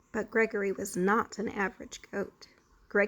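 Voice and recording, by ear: The words are being read aloud in a natural voice.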